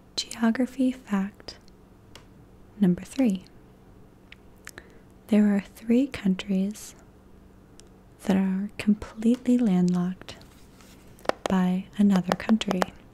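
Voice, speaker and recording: A soft-spoken voice at a very slow pace, fairly even in intonation, with long, frequent pauses. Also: woman, medium pitch for a woman. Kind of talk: ASMR facts reading.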